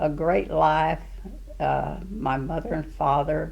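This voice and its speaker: In a Southern US accent, a woman speaks at a very slow pace. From Arkansas. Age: 80s+. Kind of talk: interview answer. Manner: hesitant, halting.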